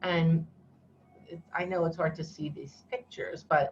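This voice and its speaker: Somewhat breathy and fairly low in pitch, a woman speaks at a moderate pace. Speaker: educator leading an online workshop. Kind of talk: online workshop presentation.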